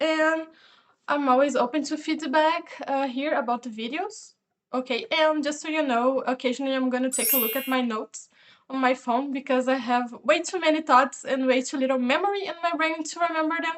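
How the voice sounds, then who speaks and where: A woman with a non-native accent talks at a fairly quick pace in a high voice. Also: ordinary pitch variation. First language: not English. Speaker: video reviewer. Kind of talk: casual review monologue. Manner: hesitant, many fillers.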